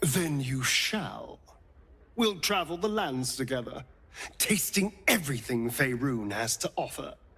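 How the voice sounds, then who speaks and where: Putting on a character voice, a man talks at a fairly high pitch and a fairly slow pace in a theatrical tone. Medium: video game. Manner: silky, theatrical.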